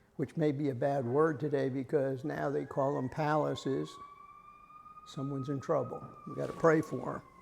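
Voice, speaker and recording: Moderate-paced speech from a man with an American accent, plus audible room echo. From US South. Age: 80s+. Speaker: lay Bible study leader. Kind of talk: lecture. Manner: halting.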